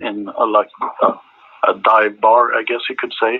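At a moderate pace, a man speaks with a Swedish accent. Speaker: rock band singer and guitarist. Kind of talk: interview. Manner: halting.

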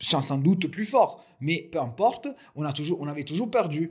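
A man talks at a fairly slow pace with a fairly high pitch and lively intonation. The recording is very clean, with a silent background. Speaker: football fan commentator. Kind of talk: solo audio commentary. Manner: halting, many repeated words and fillers.

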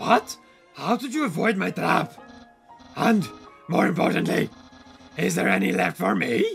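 Over faint background music, a man does a put-on character voice at a moderate pace. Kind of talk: comic overacting. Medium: game stream. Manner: pompous, excitable, theatrical.

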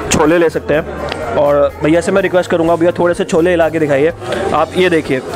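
A man speaking at a fairly slow pace with fairly even intonation, clear music playing behind him. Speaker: food vlogger host. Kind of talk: casual vlog chat and interview questions. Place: kitchen. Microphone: handheld.

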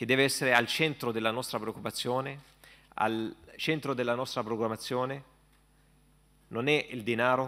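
At a moderate pace, a man with a bright, sharp tone and medium pitch keeps a fairly even intonation and takes long, frequent pauses. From Palestine. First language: Arabic (speaking Italian). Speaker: imam. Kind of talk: panel discussion. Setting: stage with audience. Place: hall. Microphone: podium.

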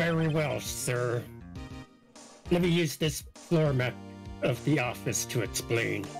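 Clear music plays behind a man speaking at a medium pitch and a fairly slow pace. His loudness stays very even, broken by long, frequent pauses. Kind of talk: game dub voice acting. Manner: deferential, says sir constantly.

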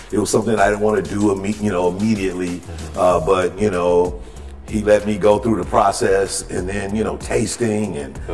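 Over faint music in the background, a man talks at a moderate pace with a fairly low pitch and fairly even intonation. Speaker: guest. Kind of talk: interview answer. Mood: warm, reflective. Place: cellar. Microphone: lapel.

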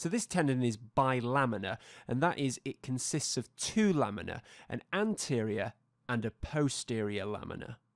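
In a very clean, dry, close recording with no echo and a silent background, a man with a plain, everyday voice speaks at medium pitch and a moderate pace with lively intonation. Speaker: anatomy educator. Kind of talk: tutorial. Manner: formal.

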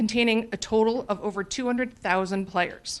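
A woman with a fairly high pitch, against a quiet background. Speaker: youth soccer league commissioner. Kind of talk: public remarks at council meeting. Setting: city council chamber. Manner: fast.

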